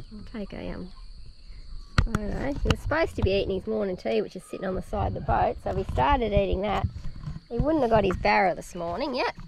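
The speech moves at a very fast pace. The sound is dry with no echo, and there is noticeable background noise. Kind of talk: casual vlog chat. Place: boat. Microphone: camera far.

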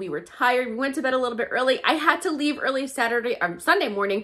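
The woman's intonation is lively. She talks at a fairly quick pace. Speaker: shopping vlogger. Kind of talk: casual vlog chat. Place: home room. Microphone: phone near.

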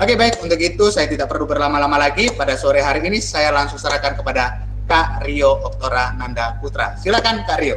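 Over light background noise, a man talks at a very fast pace with hardly any pauses. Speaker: student moderator. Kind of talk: event MC. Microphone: webcam.

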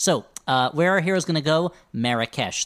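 Lively intonation and an animated tone mark this man's delivery at a moderate pace. The recording is very clean and dry, close with no echo, on a silent background. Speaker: comedy podcast co-host. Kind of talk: casual chat. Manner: animated, joking.

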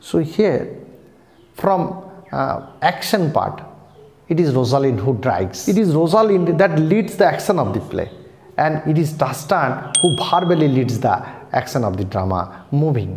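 Speaking at a fairly slow pace, a man is heard with audible echo from the room. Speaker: literature teacher. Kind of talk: lecture. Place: home room.

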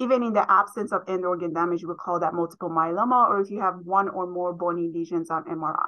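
Bright and sharp in tone, a woman talks at a fairly quick pace with fairly even intonation. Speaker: presenter. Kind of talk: lecture. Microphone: webcam.

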